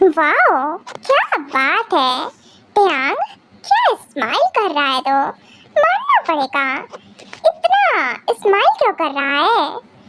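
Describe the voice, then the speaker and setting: A woman puts on a squeaky character voice at an extremely high pitch, with very wide pitch swings, a very slow pace, and long, frequent pauses. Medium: solo performance. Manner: teasing, affectionate.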